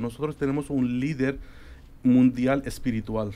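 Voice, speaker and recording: A man speaks at a fairly slow pace. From Spain. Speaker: guest. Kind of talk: interview on religion. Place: studio. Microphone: studio mic.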